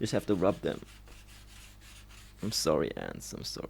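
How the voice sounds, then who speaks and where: Delivered at a moderate pace, the speech carries vocal fry throughout. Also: man. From Germany, Trier. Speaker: social media creator. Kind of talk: casual monologue. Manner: halting; uneven pitch.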